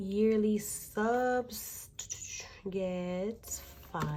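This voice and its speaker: A woman talks at a medium pitch with fairly even intonation. Music plays in the background, and the room echo is audible. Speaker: budgeting vlogger. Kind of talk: casual tutorial.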